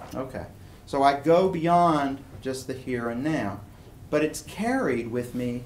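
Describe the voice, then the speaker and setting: With ordinary pitch variation, a man talks amid audible room echo. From East Tennessee (Chattanooga). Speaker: philosophy professor. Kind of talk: lecture. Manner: casual, conversational.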